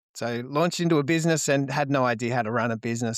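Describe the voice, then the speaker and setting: A man's medium-pitched voice with an Australian accent at a fairly quick pace, in a very clean recording with a silent background. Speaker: marketing business owner. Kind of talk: podcast interview. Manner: halting, many fillers and repeated words.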